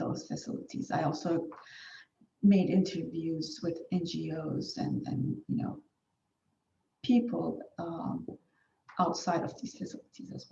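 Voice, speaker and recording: A woman with a Turkish accent, fairly low in pitch, with very wide pitch swings, long and frequent pauses, a fairly slow pace, and audible room echo. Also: big swings in loudness. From Turkey. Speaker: academic researcher. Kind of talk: conference presentation. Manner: hesitant with fillers.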